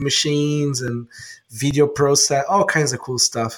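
At a fairly slow pace, a man speaks in a fairly high, somewhat breathy voice. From Brazil, Sao Paulo. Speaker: hardware wallet entrepreneur. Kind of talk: casual interview.

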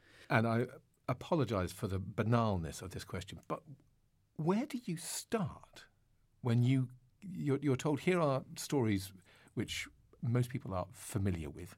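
A man speaks at a fairly slow pace, leaving long, frequent pauses, his medium pitch making very wide swings. His voice is somewhat breathy, on a very clean recording with a silent background. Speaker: interviewer. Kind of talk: interview.

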